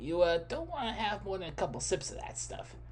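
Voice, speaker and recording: Putting on a character voice, a man talks at a fairly quick pace over clear background noise. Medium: read story. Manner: hesitant, filler-heavy.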